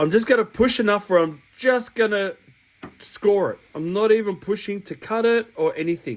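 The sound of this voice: A man speaks at a high pitch and a fairly slow pace, with ordinary pitch variation.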